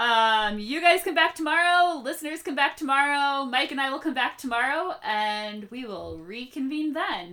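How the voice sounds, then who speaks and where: In a raised, projected voice, a woman speaks at a high pitch. Her tone is bright and sharp. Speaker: podcast host. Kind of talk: casual chat. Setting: video call.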